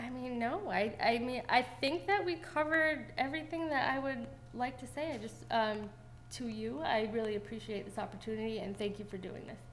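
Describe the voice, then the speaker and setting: Over noticeable background noise and audible room echo, a woman with a high pitch speaks at a moderate pace, her intonation lively and her loudness swinging widely. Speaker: town clerk candidate. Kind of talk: interview. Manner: halting.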